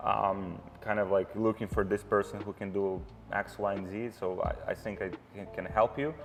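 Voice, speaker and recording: Fairly low male pitch with fairly even intonation at a moderate pace, amid noticeable background noise. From Ukraine. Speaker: e-commerce entrepreneur. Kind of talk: interview. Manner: hesitant, many fillers.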